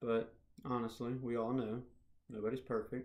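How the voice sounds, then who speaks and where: Quietly, a man speaks at a medium pitch. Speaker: public speaking student. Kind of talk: self-reflection video. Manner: quiet, poorly projected.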